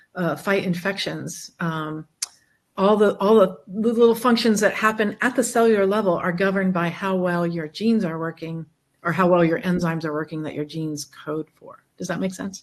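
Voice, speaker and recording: A woman with an ordinary speaking voice talks at a medium pitch and a moderate pace. Her pitch varies in an ordinary way, and her loudness swings a lot. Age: 60s. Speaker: chiropractor and genetics health practitioner. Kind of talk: interview.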